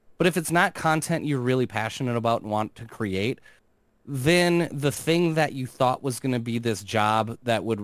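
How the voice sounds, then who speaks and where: A man speaks in a plain, everyday voice at a medium pitch. His pace is moderate, and his pitch varies in an ordinary way. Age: 40s. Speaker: gaming commentator on social media. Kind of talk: casual chat.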